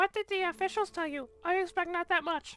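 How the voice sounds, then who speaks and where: A squeaky, put-on character voice at an extremely high pitch rattles along at a fairly quick pace. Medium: game stream. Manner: restless, nervous.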